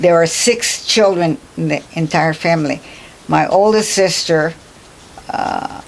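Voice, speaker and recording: Over noticeable background noise, a woman with a fairly low pitch speaks at a very slow pace. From Hawaii (Kauai). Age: 80s+. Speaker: retired teacher, oral history interviewee. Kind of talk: oral history interview. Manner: halting.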